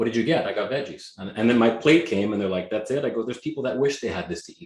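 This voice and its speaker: With a Canadian accent, a man speaks at a very fast pace in a medium pitch with ordinary pitch variation. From Canada, Greek immigrant family. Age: 40s. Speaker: real estate agent. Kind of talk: interview. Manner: energetic.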